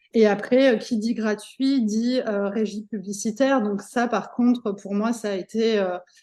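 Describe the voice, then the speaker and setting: Against a quiet background, a woman speaks at a fairly slow pace. Her pitch is fairly high and her intonation fairly even. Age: 40s. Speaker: entrepreneur, magazine publisher. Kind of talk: interview. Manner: halting, many fillers.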